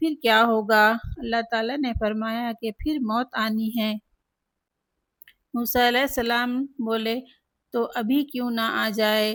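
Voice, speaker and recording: The recording is very clean with a silent background. The intonation stays monotone and flat. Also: woman, fairly high pitch for a woman. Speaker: religious speaker. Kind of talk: religious text reading.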